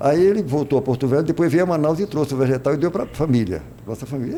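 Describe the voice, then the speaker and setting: Talking at a very fast pace, a man uses lively intonation. Noticeable background noise can be heard. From Brazil, Ceará (Crato). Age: 70s. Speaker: religious leader and former footballer. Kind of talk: interview. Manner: halting.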